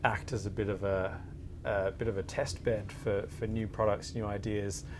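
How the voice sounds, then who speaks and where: The intonation stays fairly even. Room echo is audible throughout. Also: man. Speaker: lawyer. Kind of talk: panel interview. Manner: halting, many fillers.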